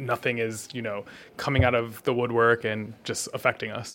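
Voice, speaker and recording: A man speaks at a fairly quick pace with a medium pitch and a plain, everyday voice, on a very clean recording with a silent background. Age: young. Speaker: podcast host. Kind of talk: interview. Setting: live event.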